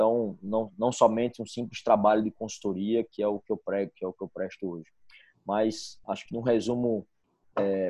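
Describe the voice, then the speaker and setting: With a fairly low voice, a man speaks at a moderate pace in a monotone, flat intonation. The sound is dry and close with no echo, over a quiet background. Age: 30s. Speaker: engineer and management consultant. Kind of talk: casual interview. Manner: halting, many repetitions.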